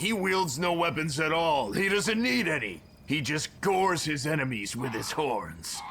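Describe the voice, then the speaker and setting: A man performs a put-on character voice at a fairly high pitch and a moderate pace. Clear background noise is present. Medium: video game.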